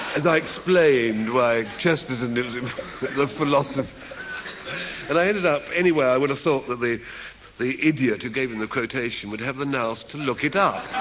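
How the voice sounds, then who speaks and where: Against noticeable background noise, a man speaks at a moderate pace in a medium pitch. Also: ordinary pitch variation. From England. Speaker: comedy writer and humorist. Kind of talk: after-dinner style comic speech. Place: hall.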